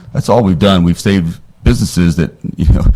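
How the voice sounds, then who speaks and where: Talking at a very fast pace with lively intonation, a man with a very deep, low pitch is heard over noticeable background noise. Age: 60s. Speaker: attorney testifying as witness. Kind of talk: committee hearing testimony.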